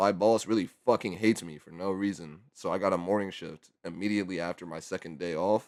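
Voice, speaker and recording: A man of very deep, low pitch with fairly even intonation, on a very clean recording with a silent background. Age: 20s. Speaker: YouTuber. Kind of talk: casual rant. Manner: halting.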